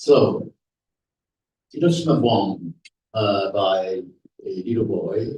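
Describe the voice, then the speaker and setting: His voice is somewhat breathy, with a dark, mellow tone. The man speaks at a very slow pace and a fairly low pitch. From Japan (Nagasaki). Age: 80s+. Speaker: atomic bomb survivor and speaker. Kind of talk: lecture with slides. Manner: halting, many fillers.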